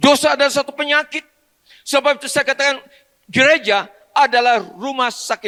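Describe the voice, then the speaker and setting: In a dry, close recording with no echo, a man uses an extremely high pitch, a bright, sharp tone and a raised, projected voice, talking at a fairly quick pace with ordinary pitch variation. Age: 70s. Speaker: pastor. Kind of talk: sermon. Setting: church.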